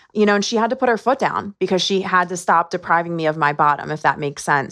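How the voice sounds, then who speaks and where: A woman's bright, sharp voice at a very fast pace over a quiet background. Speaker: founder of addiction outreach nonprofit. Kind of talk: interview. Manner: halting, with repetitions.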